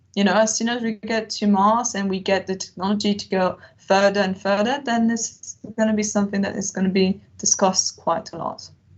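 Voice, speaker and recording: This woman's voice is somewhat breathy. Her intonation stays fairly even. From Switzerland. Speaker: analog astronaut and PhD researcher. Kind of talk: webinar Q&A. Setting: video call.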